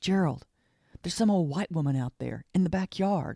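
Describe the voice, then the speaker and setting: A put-on character voice at a middle pitch and moderate pace. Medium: read story.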